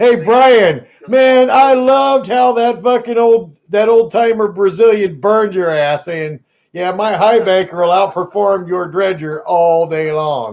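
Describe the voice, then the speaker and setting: A man speaks loudly at a high pitch with lively intonation. His pace is fairly slow. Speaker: gold prospecting livestream host. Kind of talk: casual livestream chat.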